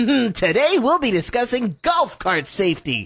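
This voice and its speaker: A man puts on a cartoonish character voice, pitched extremely high and swinging very widely in pitch. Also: moderate pace. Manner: eager, goofy.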